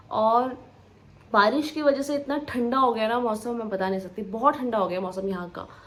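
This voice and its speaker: Room echo can be heard around the speaker. She is a woman talking at a fairly high pitch. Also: ordinary pitch variation. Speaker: vlogger. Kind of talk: casual vlog talk. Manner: slow.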